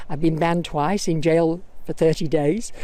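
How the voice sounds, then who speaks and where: Very wide pitch swings in a northern English accent. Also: woman. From northern England. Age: 70s. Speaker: protester, interviewee at a park rally. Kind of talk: casual interview. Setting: outdoors in a suburban park. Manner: animated.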